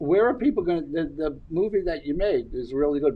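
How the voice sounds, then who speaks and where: Talking at a very fast pace, a man with a Brooklyn accent has a fairly high pitch and lively intonation. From New York, Brooklyn. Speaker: podcast co-host. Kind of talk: casual interview chat.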